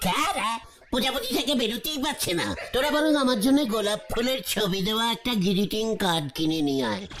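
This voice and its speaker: A cartoonish character voice, female-sounding and fairly high-pitched, speaks at a moderate pace with lively intonation and very even loudness over clear background noise. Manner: bossy, stammering.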